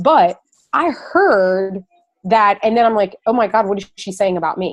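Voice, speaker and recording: A woman talks at a moderate pace with a medium pitch and ordinary pitch variation, in a plain, everyday voice. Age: 40s. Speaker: fitness business coach. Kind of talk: Q&A on a group call. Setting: conference call.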